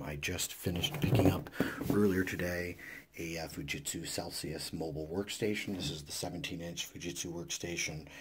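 Whispering in a raspy, put-on character voice, a man speaks at a moderate pace over clear background noise. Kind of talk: casual vlog chat.

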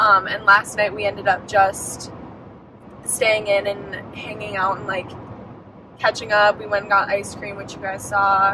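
A woman at a moderate pace, the sound dry with no echo, over noticeable background noise. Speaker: vlogger driving. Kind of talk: casual vlog chat. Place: car. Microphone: phone near.

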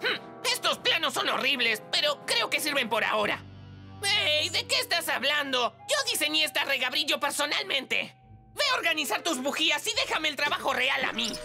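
A put-on character voice with vocal fry and big pitch swings in a bright, sharp tone. Faint music plays in the background. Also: woman, high pitch for a woman, moderate pace.

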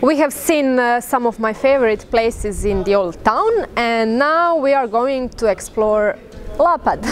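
Music plays in the background. A woman talks at a fairly slow pace with a high pitch and ordinary pitch variation. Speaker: local guide. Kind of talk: casual travel vlog talk. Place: beach.

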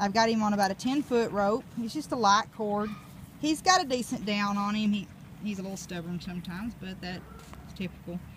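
A woman talks at a fairly quick pace with ordinary pitch variation, the sound dry with no echo over light background noise. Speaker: dog trainer. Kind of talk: casual training commentary. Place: farm machine. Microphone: phone near.

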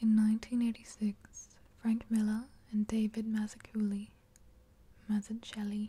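A soft-spoken, somewhat breathy woman's whisper at a moderate pace. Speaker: ASMR creator. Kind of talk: ASMR soft-spoken show and tell. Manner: soft-spoken, whispered. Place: home room.

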